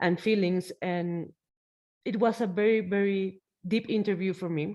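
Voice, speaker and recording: In a Mexican accent, a woman speaks at a fairly slow pace and a medium pitch. Her intonation is fairly even, and the background is quiet. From Mexico. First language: Spanish. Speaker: podcast host. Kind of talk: interview. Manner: halting.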